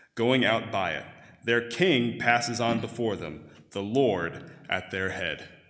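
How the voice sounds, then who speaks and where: Speaking very slowly, a man uses a medium-pitched, bright, sharp voice with lively intonation. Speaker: scripture reader. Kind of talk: reading aloud. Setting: church.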